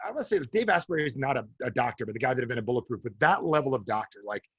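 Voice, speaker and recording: Very fast and animated, a man with a New Jersey accent speaks at medium pitch in a somewhat breathy voice, the sound dry and close with no echo. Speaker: author and coach. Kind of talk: interview.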